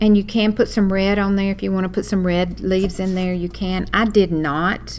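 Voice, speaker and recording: At a moderate pace, a woman with a Southern accent speaks at a medium pitch. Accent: Southern, says y'all. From US South (Walker County). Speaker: craft teacher. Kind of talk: live online class tutorial. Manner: chatty, animated.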